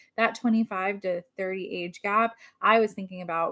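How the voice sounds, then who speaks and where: Medium in pitch, a woman talks in an unremarkable speaking voice with fairly even intonation. The sound is dry and close, with no echo. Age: 40s. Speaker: podcast co-host. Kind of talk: casual chat.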